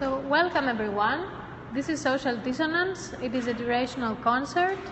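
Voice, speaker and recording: Moderate-paced speech amid noticeable background noise. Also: woman. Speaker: event host. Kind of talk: welcome announcement to an audience. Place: hall. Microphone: phone near.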